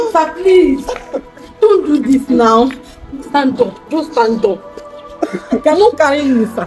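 Faint music plays in the background as a woman speaks at a high pitch. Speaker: skit actress. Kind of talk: dramatic skit dialogue and monologue. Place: street.

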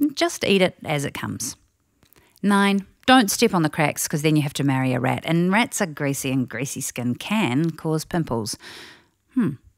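Speaking with a New Zealand accent, a woman with a very deep, low pitch talks at a moderate pace with very wide pitch swings on a very clean recording with a silent background. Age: 40s. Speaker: family audio program presenter. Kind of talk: scripted narration. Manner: animated.

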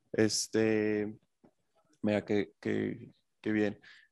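The sound is dry and close with no echo. A man speaks over a quiet background. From Mexico. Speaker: interviewer, film channel host. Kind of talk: interview.

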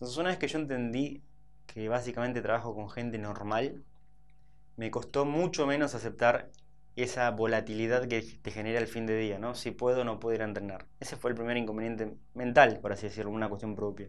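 This is an unremarkable speaking voice. It moves at a fairly quick pace with fairly even intonation. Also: man, medium pitch for a man. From Buenos Aires, Argentina (Saavedra); Buenos Aires. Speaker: fitness trainer and entrepreneur; fitness trainer. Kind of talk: interview. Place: studio.

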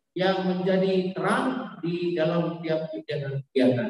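The speech comes at a fairly slow pace. Strong room echo surrounds it. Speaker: church event host. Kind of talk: formal welcome and prayer. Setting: church. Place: church.

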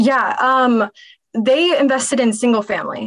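A high-pitched woman with an American accent, ordinary pitch variation and a fairly slow pace over a quiet background. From Dallas, Texas; Texas. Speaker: real estate investor and consultant; podcast guest. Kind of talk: interview. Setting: video call. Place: home room. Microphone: webcam.

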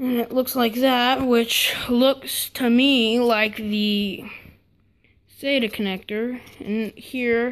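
The intonation is fairly even. The speaker is a woman. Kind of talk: casual tutorial narration. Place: home room. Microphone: phone near.

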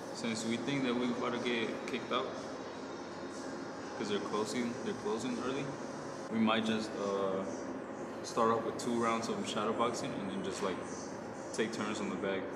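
Loud background noise behind a man at a moderate pace, with long, frequent pauses. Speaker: boxer vlogger. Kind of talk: casual vlog chat. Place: gym. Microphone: phone near.

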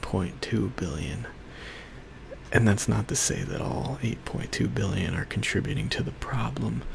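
Soft-spoken, a man talks at a fairly low pitch. He goes at a fairly slow pace amid noticeable background noise. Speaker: ASMR creator. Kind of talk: ASMR life update talk to camera. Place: home room. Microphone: studio mic.

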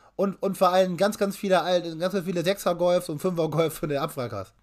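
A man's high-pitched voice at a moderate pace, with ordinary pitch variation and a quiet background. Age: 20s. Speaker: car YouTuber and collector; car YouTuber. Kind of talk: casual chat. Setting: live stream. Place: home room. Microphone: webcam.

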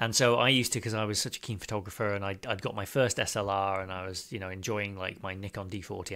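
A man with a British accent talks at a very fast pace, his fairly low voice carrying a bright, sharp tone. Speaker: podcast host. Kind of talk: casual interview chat. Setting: remote call with studio mic.

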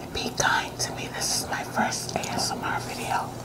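A soft-spoken woman whispers at a moderate pace. Loud background noise is present. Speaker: mukbang vlogger. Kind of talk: casual vlog chat. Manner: soft ASMR whisper between bites. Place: home room.

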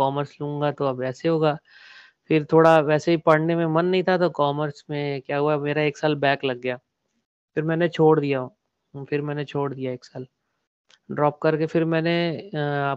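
Speaking at a fairly slow pace, a man uses a fairly high pitch and a monotone, flat intonation. The recording is dry with no echo, and the background is quiet. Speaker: artist; podcast guest. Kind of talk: casual interview. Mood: relaxed, reflective. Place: home room.

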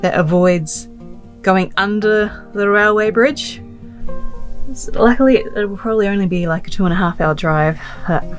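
Faint music plays behind a woman who speaks at a moderate pace with ordinary pitch variation and long, frequent pauses. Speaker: travel vlogger. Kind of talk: casual vlog chat. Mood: nervous, slightly anxious laughing. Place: car. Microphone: phone near.

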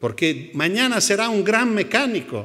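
A man talks at a fairly slow pace. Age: 70s. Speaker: educational psychologist; conference speaker. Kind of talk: conference talk. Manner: halting. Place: hall. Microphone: podium.

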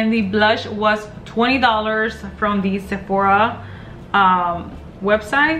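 A woman's fairly even intonation, with faint music in the background. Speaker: beauty vlogger. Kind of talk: casual vlog chat, product review. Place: home room. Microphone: phone near.

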